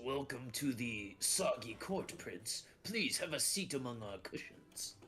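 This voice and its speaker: A man's put-on character voice at medium pitch, fairly slow in pace, over clear background noise. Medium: actual play. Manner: pompous, regal.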